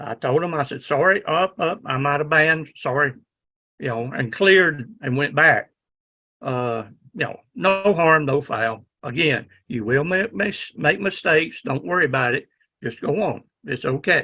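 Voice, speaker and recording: Loud and bright with a sharp tone, a man with a Southern US accent speaks fairly slowly at a fairly high pitch, his intonation lively. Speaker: ham radio instructor. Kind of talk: lecture.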